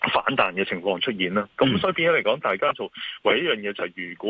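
A man with a Hong Kong accent talks at a fairly quick pace. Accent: Hong Kong Cantonese. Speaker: securities firm chairman, market commentator. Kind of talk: radio interview, financial commentary. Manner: hesitant, many fillers.

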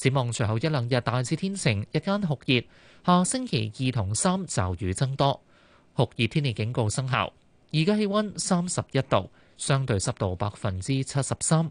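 A quiet background sits behind speech delivered at a moderate speed. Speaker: radio news anchor. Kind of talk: news reading.

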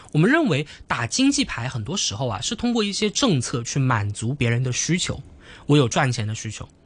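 At a moderate pace, a man speaks in a somewhat breathy voice with very wide pitch swings. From Hong Kong. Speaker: university student debater. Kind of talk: radio interview.

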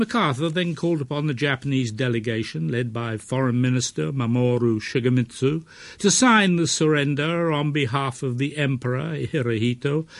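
A man speaks in a normal speaking voice at a medium pitch and moderate pace, with lively intonation. The background is quiet. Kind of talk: scripted narration. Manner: formal.

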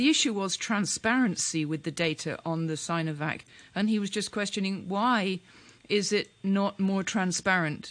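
The speaker has a normal speaking voice at a moderate pace. Pitch moves with ordinary variation. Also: woman. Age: 50s. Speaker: radio talk show co-host. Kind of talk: radio interview.

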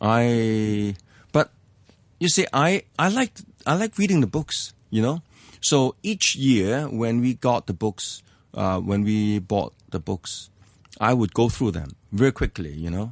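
Speaking in a Hong Kong accent, a man moves at a fairly slow pace with very wide pitch swings around a medium pitch. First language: Cantonese. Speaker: economics professor. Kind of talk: interview about life story. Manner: hesitant with many fillers.

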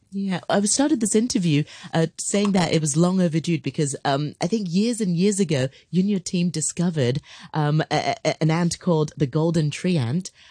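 A woman with a fairly low pitch and a dark, mellow, somewhat breathy tone speaks at a moderate pace with ordinary pitch variation and very even loudness. The sound is dry and close with no echo, against a quiet background. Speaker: radio host. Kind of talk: radio interview. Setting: studio.

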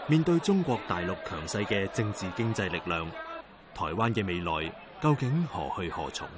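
Over noticeable background noise, a man talks at a moderate pace, his pitch swinging very widely. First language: Cantonese (speaking Chinese). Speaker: news documentary narrator. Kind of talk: scripted narration.

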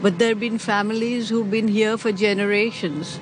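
A woman talks over noticeable background noise. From Pakistan / India (Karachi, Bombay). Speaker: retired accountant, Parsi community member. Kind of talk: interview, personal recollection.

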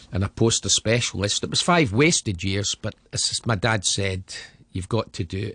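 In a west of Scotland accent, a man with a fairly low pitch and a bright, sharp tone talks at a moderate pace with lively intonation, recorded dry and close with no echo against a quiet background. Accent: Scottish (west of Scotland). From Scotland, Glasgow area. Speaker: former professional footballer. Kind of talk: interview, life story.

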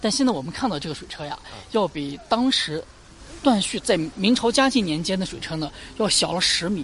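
A woman at medium pitch, talking at a fairly quick pace, with very wide pitch swings, big swings in loudness and noticeable background noise. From Lanzhou, northwest China. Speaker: local tour guide. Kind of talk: guided tour.

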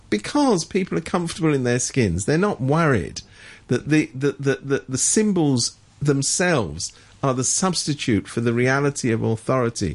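Against a quiet background, a man with a British accent speaks at a moderate pace and a fairly high pitch, his loudness very even while his pitch swings very widely. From Britain. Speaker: political commentator. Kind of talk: radio current affairs discussion. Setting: radio studio.

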